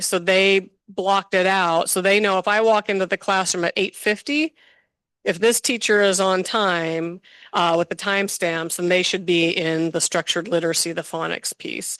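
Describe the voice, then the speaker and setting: A woman talks in a normal speaking voice at medium pitch and a moderate pace with fairly even intonation, in a dry, close sound with no echo and a quiet background. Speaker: school district administrator. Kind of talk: board meeting presentation. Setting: school board meeting.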